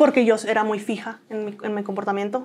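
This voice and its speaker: A woman speaks at a very fast pace. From northern Mexico (Comarca Lagunera, Coahuila/Durango); northern Mexico. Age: 30s. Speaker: interviewee. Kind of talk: interview testimony. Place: studio. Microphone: lapel.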